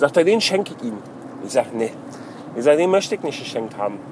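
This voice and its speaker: A man speaks at a very fast pace with very wide pitch swings. Noticeable background noise runs behind him. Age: 30s. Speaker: video blogger. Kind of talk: casual monologue. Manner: halting, many fillers.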